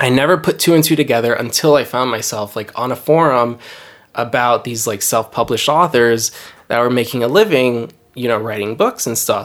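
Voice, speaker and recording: A man with an American accent speaks in a plain, everyday voice at a medium pitch. His pace is fairly quick, and his pitch varies in an ordinary way. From New Jersey, then Miami from age 14. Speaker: novelist. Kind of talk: casual interview. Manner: casual, many filler words.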